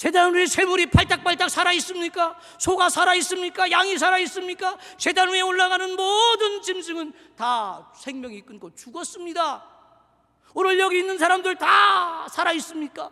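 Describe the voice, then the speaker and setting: In a raised, projected voice with a bright, sharp tone, a man with extremely high pitch speaks at a moderate pace with ordinary pitch variation. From Seoul. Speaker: pastor. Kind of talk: sermon. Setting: church. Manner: animated.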